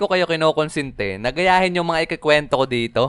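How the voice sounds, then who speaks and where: Speaking at a fairly quick clip, this voice has lively intonation and a dry, close sound with no echo. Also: man. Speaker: animated story narrator. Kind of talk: storytelling. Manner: casual.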